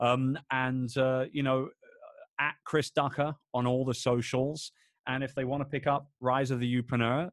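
In a London accent, a man with a medium-pitched voice speaks at a moderate pace in a monotone, flat way over a quiet background. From London, England. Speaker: entrepreneur. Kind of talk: casual chat.

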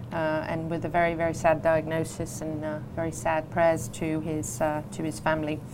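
Her voice is very deep and low, with monotone, flat intonation. Noticeable background noise sits behind this woman. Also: moderate pace. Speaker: radio host. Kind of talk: radio talk show hosting. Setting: studio.

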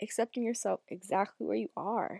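Recorded very cleanly against a silent background with a dry, close sound and no echo, a woman with an American accent speaks at a moderate pace and fairly high pitch in a dark, mellow tone. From US Northeast, northern Massachusetts. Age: 20s. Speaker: podcast host and Reiki practitioner. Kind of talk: solo podcast monologue. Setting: home, sitting in bed. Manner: casual, laughing.

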